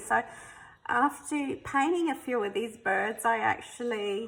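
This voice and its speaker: A woman talks with an Australian accent. Her pitch is high and her pace fairly slow. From South Australia. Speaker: artist. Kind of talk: sketchbook flip-through. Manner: casual, hesitant with many ums.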